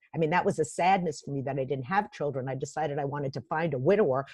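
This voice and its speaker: A woman with a very deep, low pitch speaks at a very fast pace, somewhat breathy. Her pitch varies in an ordinary way over a quiet background. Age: 60s. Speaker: executive coach and author. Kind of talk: interview.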